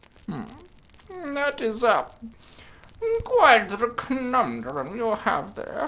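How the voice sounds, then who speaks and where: A put-on character voice, fairly high in pitch, moves at a very slow pace. Long pauses come often. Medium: read story. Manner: hesitant "mm"s, tottering and doddering.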